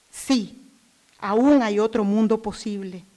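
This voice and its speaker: This woman speaks at a very slow pace. Her voice is fairly high, with ordinary pitch variation. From Nicaragua. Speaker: human rights activist. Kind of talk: prepared speech introduction.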